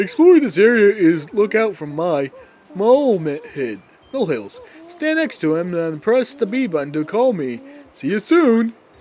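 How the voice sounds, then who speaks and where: A man puts on a character voice, pitched high for a man and delivered at a moderate pace. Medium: game stream. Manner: patient, helpful.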